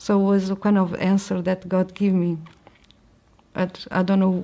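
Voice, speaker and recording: A woman's medium-pitched, dark, mellow voice in a Portuguese accent, at a fairly slow pace. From Portugal. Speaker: convert sharing her story. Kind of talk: testimony. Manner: halting.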